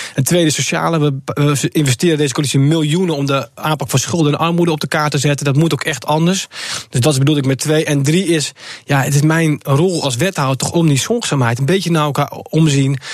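A fairly high male voice at a fairly quick pace, with fairly even intonation and very even loudness, over noticeable background noise. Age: 20s. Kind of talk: radio interview.

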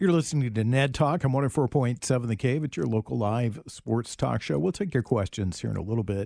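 A man speaks at a medium pitch with lively intonation in a plain, everyday voice. The recording is very clean, with a silent background. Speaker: radio host. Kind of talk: casual sports talk chat. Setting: studio. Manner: teasing, bantering.

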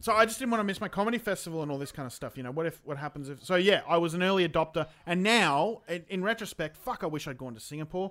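Lively in intonation and bright and sharp in tone, a man with an Australian accent rattles along at a very fast pace in a high pitch, with big swings in loudness and hardly any pauses. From Queensland, Australia. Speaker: comedian. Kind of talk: casual chat. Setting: video call.

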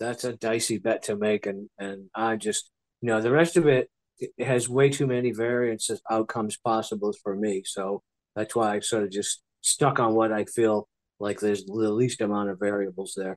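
In a dry, close sound with no echo and a quiet background, a man at medium pitch speaks at a moderate pace with fairly even intonation. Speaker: sports betting analyst. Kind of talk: casual chat. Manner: dry, nonchalant delivery.

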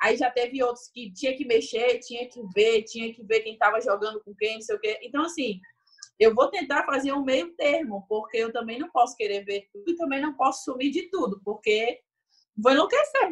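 Her voice is high-pitched, with lively intonation. The woman keeps a moderate pace. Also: big swings in loudness. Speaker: Olympic beach volleyball player. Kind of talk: interview.

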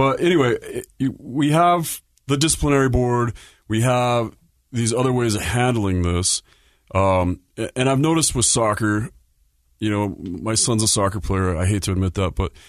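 At a moderate pace and medium pitch, a man with an American accent speaks with lively intonation, very even loudness, and long, frequent pauses. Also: quiet background. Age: 40s. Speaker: hockey podcast host. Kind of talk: casual chat. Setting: studio.

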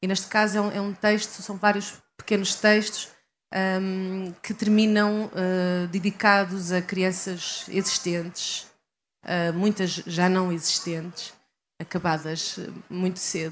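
In a European Portuguese accent, a woman at medium pitch speaks at a very slow pace with monotone, flat intonation. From Portugal, Leiria district. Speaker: writer. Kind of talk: interview. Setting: live event at literary festival. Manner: halting, many repetitions and fillers.

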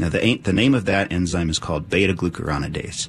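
Over noticeable background noise, a man talks at a very fast pace in a very deep, low pitch. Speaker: doctor. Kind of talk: live radio call-in discussion. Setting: radio studio.

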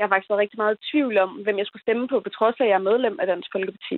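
A woman's ordinary speaking voice, fairly high-pitched, with fairly even intonation. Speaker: young voter calling in. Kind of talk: phone-in call.

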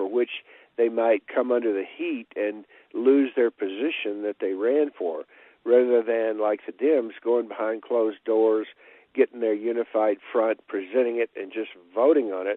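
A man speaks with an American accent in a normal speaking voice. His medium pitch shows ordinary variation at a moderate pace. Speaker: caller. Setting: phone call.

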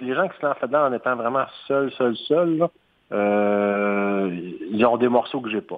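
Pitched in the medium range, a man speaks with ordinary variation in pitch. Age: 40s. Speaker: entrepreneur. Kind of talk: interview. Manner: hesitant, with fillers and repetitions.

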